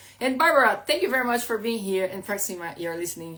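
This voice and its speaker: Using lively intonation, a woman speaks with a non-native accent. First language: Portuguese. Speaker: life coach. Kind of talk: live stream talk. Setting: at home. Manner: halting.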